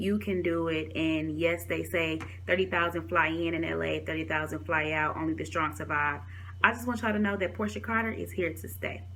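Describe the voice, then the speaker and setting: Talking at a fairly quick pace amid audible room echo, a woman with an American accent has a very deep, low pitch and very wide pitch swings. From Detroit, Michigan, US. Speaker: talk show host and vlogger. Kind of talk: vlog, motivational testimony. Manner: fast; animated.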